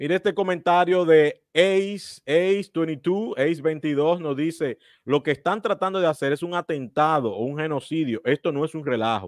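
Against a quiet background, a man talks at a fairly slow pace with ordinary pitch variation, the sound dry with no echo. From Dominican Republic. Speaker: political commentary host. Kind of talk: interview. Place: home room. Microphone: studio mic.

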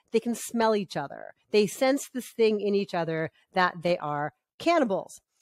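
A woman's voice swings very widely in pitch, recorded with a dry sound, no echo and a quiet background. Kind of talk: review commentary. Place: home room. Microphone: studio mic.

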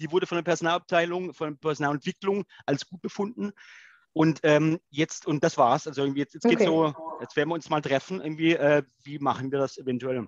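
Very fast delivery with ordinary pitch variation over a quiet background. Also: man, fairly high pitch for a man. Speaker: online event participant. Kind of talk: discussion. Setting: video call. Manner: halting, repeats words. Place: home room. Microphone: headset.

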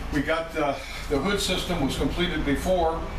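At a moderate pace, a man talks over noticeable background noise with audible room echo. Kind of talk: tutorial. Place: kitchen.

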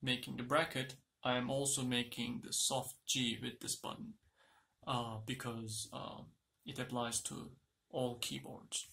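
A man speaks with a Turkish accent in a bright, sharp tone. His pace is fairly slow and his intonation fairly even. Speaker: tech YouTuber. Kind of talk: product unboxing tutorial. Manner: halting. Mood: mildly exasperated, joking. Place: home room. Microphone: phone near.

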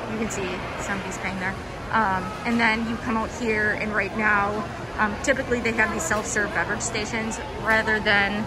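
Over loud background noise, a woman speaks at a moderate pace. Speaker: travel planner vlogger. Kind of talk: tour commentary. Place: hall. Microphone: phone near.

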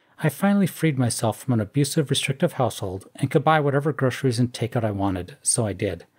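A man's very fast, somewhat breathy delivery at medium pitch, with lively intonation, hardly any pauses and a very clean recording with a silent background. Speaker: YouTube commentator. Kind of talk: scripted commentary reading social media posts with sarcastic remarks.

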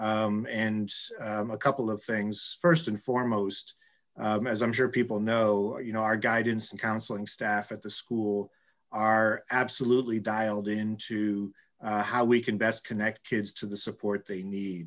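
In a quiet background, a man speaks at a fairly slow pace. His fairly low voice has monotone, flat intonation. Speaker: school administrator. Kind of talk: formal meeting. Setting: video call. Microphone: video call.

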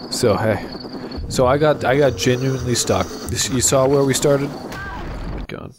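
A man with a medium pitch speaks against noticeable background noise. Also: moderate pace. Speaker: gaming video host. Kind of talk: casual let's-play commentary. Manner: casual, profane.

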